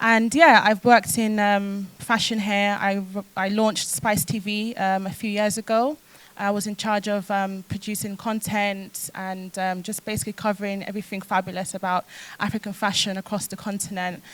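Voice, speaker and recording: Fairly even intonation with a London accent. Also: woman, medium pitch for a woman, moderate pace. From London, with time in South Wales. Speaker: fashion entrepreneur. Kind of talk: panel discussion.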